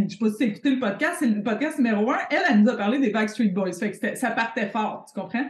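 In a Quebec accent, the speaker talks at a fairly quick pace with lively intonation. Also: woman. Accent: Québécois French. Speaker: podcast host, business coach. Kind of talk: casual chat.

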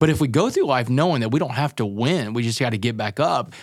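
An energetic man talks at a fairly quick pace on a very clean recording with a silent background. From Texas. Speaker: motivational speaker and author. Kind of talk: storytelling interview.

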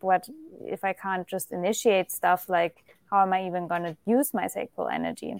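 In a German accent, a woman speaks at a medium pitch and fairly quick pace with fairly even intonation, the sound dry and close with no echo. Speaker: spiritual teacher, astrologer. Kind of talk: casual interview.

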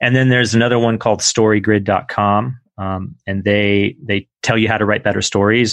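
A man speaks at a fairly low pitch with fairly even intonation over a quiet background. It is a plain, everyday voice. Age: 40s. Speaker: entrepreneur and author. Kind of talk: interview. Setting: remote recording from home.

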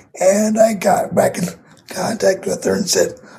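Noticeable background noise sits behind the speaker. He is a man talking at a moderate speed. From US Midwest, Grand Rapids Michigan. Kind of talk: casual interview chat.

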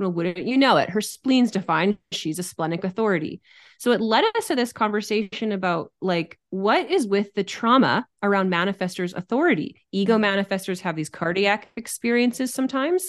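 A woman with a normal speaking voice talks at a fairly quick pace with hardly any pauses, medium pitch and ordinary pitch variation. The background is quiet. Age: 30s. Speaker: human design teacher. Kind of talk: casual chat.

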